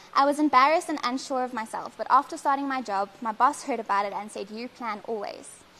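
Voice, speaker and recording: A woman with a high pitch speaks very fast in a raised, projected voice, with hardly any pauses. Her tone is bright and sharp, and her loudness swings widely. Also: ordinary pitch variation. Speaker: helicopter pilot. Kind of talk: prepared speech.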